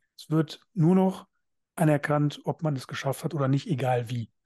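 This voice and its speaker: A man speaks at a moderate pace in a somewhat breathy, dark and mellow tone, with a fairly high pitch and ordinary variation. The sound is dry and close with no echo, over a quiet background. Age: 30s. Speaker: podcast co-host, men's counselor. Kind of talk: casual chat.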